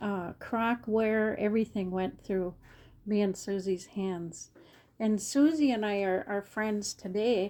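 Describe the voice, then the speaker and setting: A woman speaks in a dark, mellow tone. Her pace is fairly slow and her intonation fairly even. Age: 70s. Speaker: vintage reseller and retired therapist. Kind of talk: casual video talk showing items. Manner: halting, many fillers.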